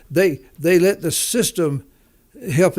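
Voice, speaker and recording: On a very clean recording with a silent background, a man speaks at a high pitch with a Southern US accent. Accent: Southern US drawl. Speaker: entrepreneur. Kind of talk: interview. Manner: halting, many repeated words.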